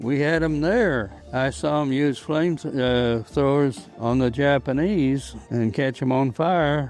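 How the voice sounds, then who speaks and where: Over music in the background, a man with an American accent talks at a very slow pace, with very even loudness and hardly any pauses. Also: fairly high pitch for a man, ordinary pitch variation. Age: 80s+. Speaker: war veteran. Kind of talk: interview answer.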